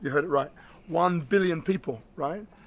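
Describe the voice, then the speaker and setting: Here a man with a London accent speaks at a high pitch. His tone is bright and sharp. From London, England. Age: 50s. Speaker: inspirational speaker and coach. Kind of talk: motivational video address. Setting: outdoors. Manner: animated. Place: street. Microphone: phone near.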